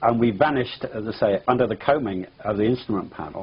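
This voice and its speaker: Over noticeable background noise, a man speaks in an English accent with ordinary pitch variation. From England. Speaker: pilot. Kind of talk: interview testimony. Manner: halting.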